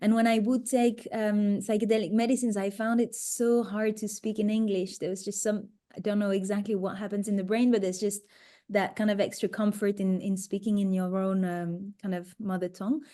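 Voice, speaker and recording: With a French accent, a woman speaks fairly quickly at medium pitch in a dark, mellow tone with monotone, flat intonation against a quiet background. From France. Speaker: psychedelic retreat facilitator. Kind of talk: webinar Q&A.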